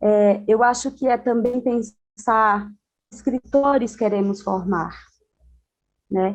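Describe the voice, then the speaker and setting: A woman with a fairly high pitch and fairly even intonation speaks at a very slow pace, with long, frequent pauses. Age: 30s. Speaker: educator and panelist. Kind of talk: panel discussion. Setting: video call from home.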